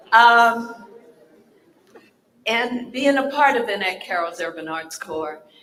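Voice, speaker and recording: A woman speaking at a very slow pace with long, frequent pauses, lively intonation, big swings in loudness and audible room echo. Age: 70s. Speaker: stage actor. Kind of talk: panel talk.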